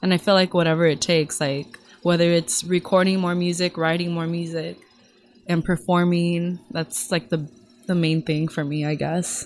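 A woman's monotone, flat delivery at a moderate pace, with a Californian accent. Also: fairly low pitch for a woman. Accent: Californian American English. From Los Angeles area. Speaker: singer. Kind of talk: casual chat. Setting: studio.

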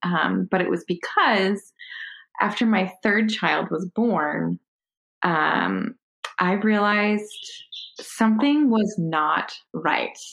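At a very slow pace, a woman speaks with an American accent, her medium pitch held at very even loudness. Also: ordinary pitch variation. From Connecticut. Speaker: stay-at-home homeschooling mother. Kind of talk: interview about personal health story.

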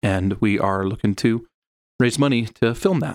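The sound is dry and close, without echo. A man talks at a medium pitch. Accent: Utah. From Utah (Sandy). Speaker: comic book creator and filmmaker. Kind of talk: casual interview.

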